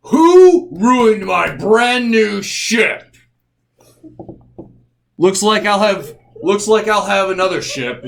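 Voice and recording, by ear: Using a put-on character voice, a man talks at a very slow pace and high pitch. Long pauses come often.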